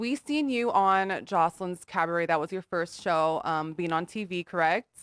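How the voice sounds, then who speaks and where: Recorded dry and close with no echo and a silent background, a woman with a Californian accent speaks at a medium pitch. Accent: Californian American English. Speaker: podcast host. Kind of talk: casual interview chat.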